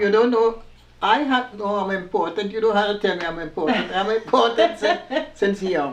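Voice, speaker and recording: Lively intonation from a woman at a moderate pace, amid noticeable background noise. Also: medium pitch for a woman. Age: 80s+. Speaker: former dressmaker. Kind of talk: interview answer.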